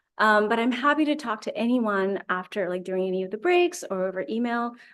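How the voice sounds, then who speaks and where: Against a quiet background, a woman speaks at a fairly high pitch. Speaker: scientist. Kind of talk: lecture. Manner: fast.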